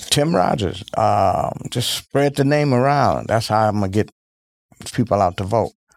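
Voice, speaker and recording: A man with an American accent, fairly low in pitch, at a fairly slow pace with lively intonation and very even loudness, a plain, everyday voice. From Milwaukee, Wisconsin. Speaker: congressional candidate. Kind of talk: interview.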